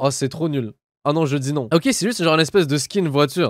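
A man speaks at a very fast pace, the sound dry with no echo and the background quiet. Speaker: gaming youtuber. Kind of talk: let's play commentary. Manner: animated.

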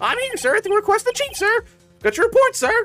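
In a put-on character voice at an extremely high pitch, the speaker races along at a very fast pace over faint music in the background. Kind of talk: formal, deferential. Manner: cartoonish, eager.

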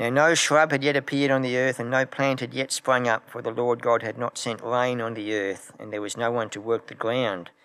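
His pitch varies in an ordinary way as a man talks at a moderate pace. Nothing can be heard behind him. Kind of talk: scripture reading. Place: church. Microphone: podium.

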